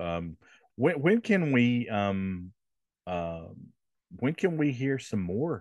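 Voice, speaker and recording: A man speaks at a very slow pace with very wide pitch swings against a quiet background. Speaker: podcast host. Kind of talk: casual interview.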